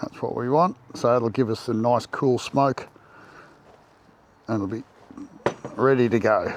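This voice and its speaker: A man with an Australian accent speaks at a fairly slow pace in a relaxed tone, with long, frequent pauses. Noticeable background noise is present. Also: medium pitch for a man, ordinary pitch variation. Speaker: backyard beekeeper. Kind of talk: tutorial. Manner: casual, relaxed.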